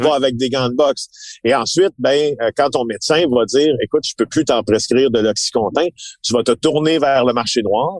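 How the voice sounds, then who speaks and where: A man speaks in a plain, everyday voice at medium pitch and a moderate pace, with ordinary pitch variation. His loudness stays very even, and the sound is dry and close with no echo. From Quebec, Abitibi-Témiscamingue. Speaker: investigative journalist. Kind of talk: casual interview chat.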